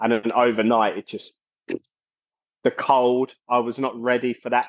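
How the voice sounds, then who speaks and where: The sound is dry and close, without echo. This man's pace is fairly slow. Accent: South London. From South London, England. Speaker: metal singer and bassist. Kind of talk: casual interview chat.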